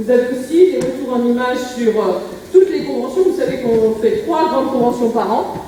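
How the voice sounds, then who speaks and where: A woman with a high voice speaks with lively intonation. Audible room echo and noticeable background noise fill the recording. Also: moderate pace. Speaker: association president opening a convention. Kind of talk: conference opening speech. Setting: conference room with audience, no microphone. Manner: hesitant, many fillers. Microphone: speaking without microphone.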